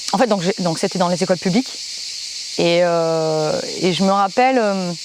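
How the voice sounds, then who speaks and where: Against noticeable background noise, the voice keeps very even loudness at a moderate pace with ordinary pitch variation. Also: woman, medium pitch for a woman. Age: 30s. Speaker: musician and singer, footballer. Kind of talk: interview testimony. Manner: halting, many hesitations.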